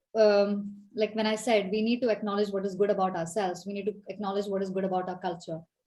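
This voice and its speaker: A woman's somewhat breathy voice at a medium pitch, dark and mellow in tone. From India, Kerala. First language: Malayalam. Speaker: leadership coach. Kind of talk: Q&A answer in online talk.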